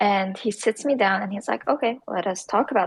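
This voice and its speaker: With a medium pitch, a woman talks at a fairly quick pace with lively intonation and vocal fry, recorded in a dry, close sound with no echo. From Syria. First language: Arabic. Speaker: startup founder. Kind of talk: interview.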